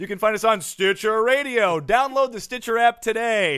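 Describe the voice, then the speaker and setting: On a very clean recording with a silent background, a man with a high pitch speaks at a moderate pace. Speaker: sports comedy podcast host, plays a fake marketing expert guest in a bit. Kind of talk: casual comedy banter with sketch bits.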